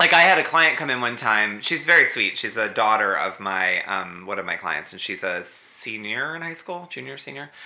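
A man at medium pitch and moderate pace, with very wide pitch swings, hardly any pauses and noticeable background noise. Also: big swings in loudness. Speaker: podcast host. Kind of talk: casual chat.

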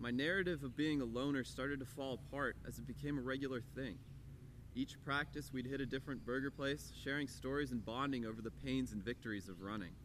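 A man speaks very fast in an American accent. His medium-pitched voice has vocal fry and ordinary pitch variation. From US, Colorado (Boulder). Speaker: student speaker. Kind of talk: prepared talk.

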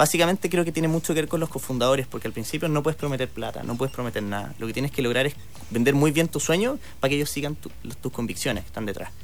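A very fast-talking man, fairly high in pitch with ordinary pitch variation, over noticeable background noise. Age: 30s. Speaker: tech entrepreneur. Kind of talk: radio interview.

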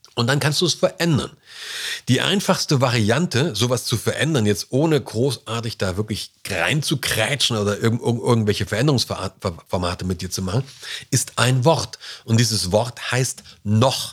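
The speaker is a man with a somewhat breathy, medium-pitched voice. He talks at a moderate pace. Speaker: podcast host on leadership and communication. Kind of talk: solo podcast monologue. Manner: casual, conversational with fillers.

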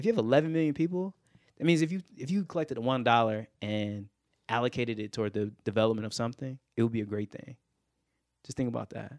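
Speaking at a very fast pace with lively intonation, a man with an American accent sounds dry and close, with no echo. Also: medium pitch for a man. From Michigan, Detroit suburbs. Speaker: diplomat. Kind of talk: casual chat.

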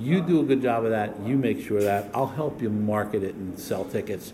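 In an American accent, a man speaks at a fairly quick pace with lively intonation and audible room echo. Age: 50s. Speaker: boxing historian. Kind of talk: interview. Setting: boxing gym. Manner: halting, many fillers.

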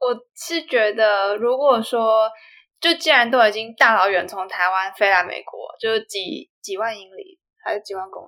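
Over a silent background in a very clean recording, a woman talks at a moderate pace with a fairly high pitch and a bright, sharp tone. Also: ordinary pitch variation, big swings in loudness. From Taiwan. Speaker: physical therapy student. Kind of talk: casual chat.

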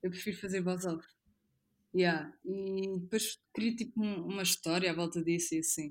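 A woman with an ordinary speaking voice talks at a moderate pace, her pitch medium and her intonation fairly even. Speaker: illustrator and model. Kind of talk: casual chat.

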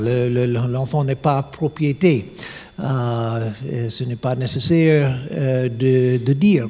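A man with an English accent speaks at a medium pitch with ordinary pitch variation. Background noise is noticeable. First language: English (speaking French). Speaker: monk giving a lecture. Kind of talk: lecture. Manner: halting.

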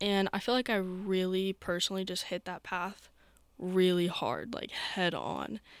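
A woman with an unremarkable speaking voice, medium pitch and fairly even intonation, fairly slow, on a very clean recording with a silent background. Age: young. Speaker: student podcast host. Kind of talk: casual chat.

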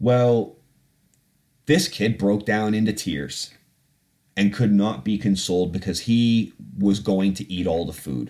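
A man talks at a fairly slow pace with a fairly low pitch and a dark, mellow tone. His pitch varies in an ordinary way, and he takes long, frequent pauses. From England. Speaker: podcast host. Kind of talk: solo podcast monologue. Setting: home recording, living room. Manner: casual, with many filler words.

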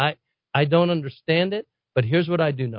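Speaking at a moderate pace, a man with a normal speaking voice has a fairly high pitch and ordinary pitch variation. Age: 60s. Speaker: pastor. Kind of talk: talk radio interview. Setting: radio studio.

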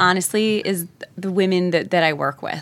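This is a woman speaking. She talks in a New Jersey accent. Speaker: nonprofit founder. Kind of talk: casual interview chat.

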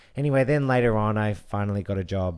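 With an Australian accent, a man speaks at a fairly low pitch with ordinary pitch variation on a very clean recording with a silent background. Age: 30s. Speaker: TV news presenter and podcast co-host. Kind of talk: casual chat. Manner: polished broadcaster delivery.

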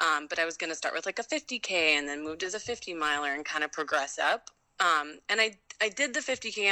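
With an American accent, a woman with a fairly low pitch speaks at a fairly quick pace in an energetic, bright, sharp tone with ordinary pitch variation, recorded very cleanly against a silent background. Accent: Minnesotan, noticeable when drinking. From Minnesota, US Midwest. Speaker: ultra runner and mountain athlete. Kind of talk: casual interview chat. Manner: positive, energetic.

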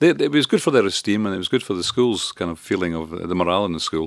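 A man talks at a very fast pace. His pitch is fairly low and his intonation lively. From Scotland. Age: 60s. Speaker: retired professor and political blogger. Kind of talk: casual interview chat.

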